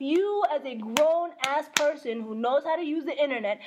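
With lively intonation and an animated tone, a high-pitched woman talks at a moderate pace. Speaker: podcast co-host. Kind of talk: casual chat with code-switching. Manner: animated, joking.

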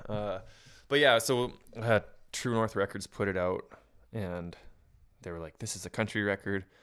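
On a very clean recording with a silent background, a man with a fairly low voice speaks at a moderate pace with ordinary pitch variation, big swings in loudness and long, frequent pauses. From Canadian prairies. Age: 30s. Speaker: country musician. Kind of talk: casual chat.

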